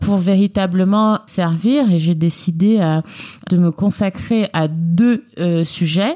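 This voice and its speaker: Dry and close with no echo, a woman's dark, mellow voice sits at a medium pitch with ordinary pitch variation. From France, Lyon (family roots in Guinea). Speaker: member of parliament. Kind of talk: interview. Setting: office at the parliament.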